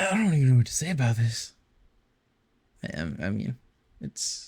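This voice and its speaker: Somewhat breathy, a man speaks at a moderate pace and medium pitch, his pitch swinging very widely. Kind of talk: casual gameplay commentary. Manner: hesitant, stuttering.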